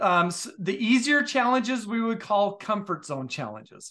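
At a moderate pace, the speaker uses lively intonation and a bright, sharp tone against a quiet background. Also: man. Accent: American. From Utah. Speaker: leadership professor and author. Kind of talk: interview conversation.

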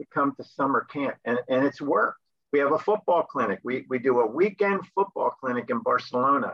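Fairly high in pitch with lively intonation, a man has an unremarkable speaking voice, speaking at a moderate pace with an American accent. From US Northeast, New Jersey. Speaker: sports missionary, camp sports director. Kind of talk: interview.

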